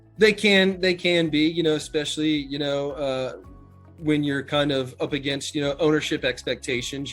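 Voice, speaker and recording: Music plays in the background as a man with an American accent speaks. His pitch is fairly high and his pace fairly quick. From Chesapeake, Virginia, USA. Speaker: hotel general manager. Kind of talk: interview answer.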